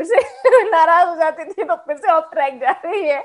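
This woman's intonation rises and falls in a lively way. She keeps to a moderate pace. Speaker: radio jockey. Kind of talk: casual interview chat.

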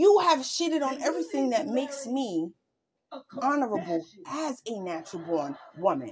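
A woman with a high pitch speaks at a moderate pace in an animated tone, her pitch swinging very widely. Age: 40s. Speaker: podcast co-host. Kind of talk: casual chat.

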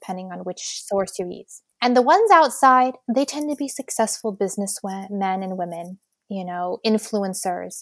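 A woman's unremarkable speaking voice at medium pitch and moderate pace, with ordinary pitch variation, a dry, close sound with no echo, and a very clean recording with a silent background. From United States. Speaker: social entrepreneur. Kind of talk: interview.

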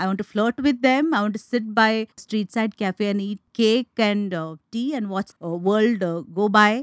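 A woman with an unremarkable speaking voice, fairly high in pitch with ordinary variation, hardly any pauses, and a dry, close sound with no echo. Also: fairly slow pace. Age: 50s. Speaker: author. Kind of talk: interview.

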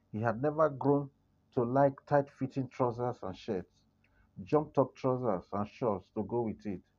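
A man speaks fairly slowly in a normal speaking voice. His pitch is medium, with ordinary pitch variation. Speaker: story narrator. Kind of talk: literary story reading, scripted narration in an even storyteller's cadence. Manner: measured, formal, steady.

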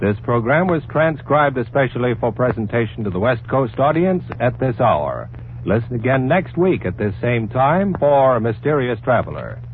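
Over noticeable background noise, a man speaks at medium pitch with very even loudness. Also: lively intonation, moderate pace, hardly any pauses. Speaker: radio announcer. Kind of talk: old-time radio announcements, credits and promos. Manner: formal, crisp.

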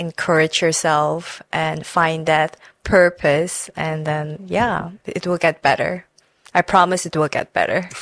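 The sound is dry and close, with no echo. A woman talks at a fairly slow pace in a fairly low, monotone voice with flat intonation. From Suriname. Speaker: podcast host. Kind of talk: casual interview.

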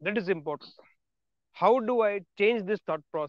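A man with an Indian accent at a moderate pace, ordinary pitch variation, and a dry, close sound with no echo. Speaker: motivational podcaster. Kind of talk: motivational monologue.

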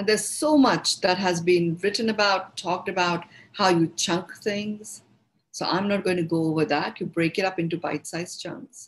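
A woman speaks in a somewhat breathy, medium-pitched voice with an Indian accent and ordinary pitch variation. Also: moderate pace. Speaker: meditation teacher. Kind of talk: guided talk. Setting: online group session.

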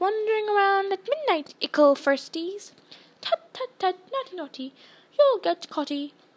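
This put-on character voice is sing-song and cackling. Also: woman, extremely high pitch for a woman, moderate pace. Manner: cackling, taunting, sing-song.

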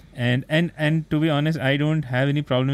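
A man with an Indian accent. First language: Hindi. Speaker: podcast host. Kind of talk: casual interview.

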